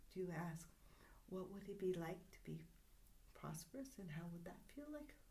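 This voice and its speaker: A woman with a dark, mellow tone, medium pitch, and vocal fry speaks at a moderate pace with lively intonation and long, frequent pauses, and the room echo is audible. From Greek family background. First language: Greek. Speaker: spiritual healer. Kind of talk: casual chat.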